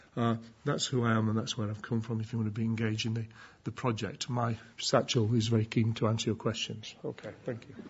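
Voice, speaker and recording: Somewhat breathy and monotone, the voice rushes along at a very fast pace with flat intonation. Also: man, medium pitch for a man. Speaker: conference presenter. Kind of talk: conference talk. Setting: conference with audience. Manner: mumbling; halting.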